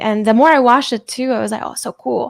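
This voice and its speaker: On a very clean recording with a silent background, a woman with a fairly high pitch talks at a very fast pace. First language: not English. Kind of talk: casual chat.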